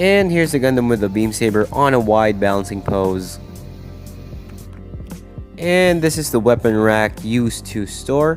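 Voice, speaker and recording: Music runs underneath as the speech stops often for long pauses. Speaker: model kit reviewer. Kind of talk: casual product review narration.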